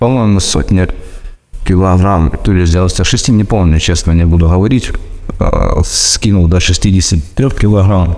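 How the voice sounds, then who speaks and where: A man with a very deep, low voice talks at very even loudness with ordinary pitch variation over noticeable background noise. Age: 40s. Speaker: fitness trainer and former miner. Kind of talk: self-recorded testimony. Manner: halting, many fillers.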